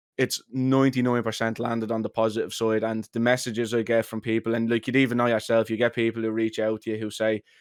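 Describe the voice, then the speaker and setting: Talking very fast with hardly any pauses, a man in a strong Dublin accent comes through with a dry, close sound, no echo and a quiet background. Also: medium pitch for a man. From Ireland, Dublin working-class area. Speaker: content creator. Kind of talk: podcast interview. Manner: animated, many fillers.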